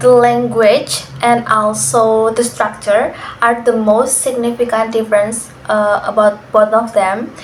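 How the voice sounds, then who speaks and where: A woman speaks at a fairly high pitch with an Indonesian accent. Noticeable background noise is present. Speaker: university student. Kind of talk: class assignment interview.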